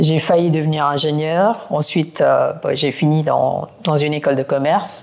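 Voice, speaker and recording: Fairly low in pitch, a woman speaks with fairly even intonation. Noticeable background noise runs behind her. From India (Kolkata). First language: not French (learned it as an adult) (speaking French). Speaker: private equity executive. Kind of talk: podcast interview.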